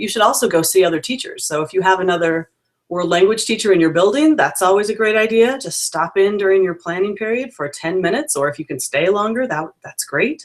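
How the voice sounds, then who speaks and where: With hardly any pauses, a woman speaks at a fairly quick pace and a medium pitch. Her intonation is lively. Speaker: peer observer evaluating language teachers. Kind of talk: video call interview. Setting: video call. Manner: fast.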